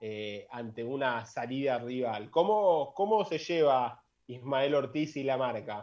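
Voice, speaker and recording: A man's medium-pitched voice at a very slow pace, with lively intonation and hardly any pauses. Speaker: sports podcast host. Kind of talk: interview.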